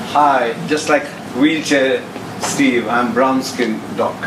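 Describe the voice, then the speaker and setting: With audible room echo and noticeable background noise, a man speaks at medium pitch with fairly even intonation. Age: 60s. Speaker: former doctor, guest speaker. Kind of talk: motivational talk.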